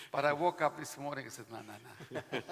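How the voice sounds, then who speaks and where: A man's fairly high voice with ordinary pitch variation at a fairly quick pace, over noticeable background noise. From Israel. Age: 70s. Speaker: vaccine expert panelist. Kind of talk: panel discussion.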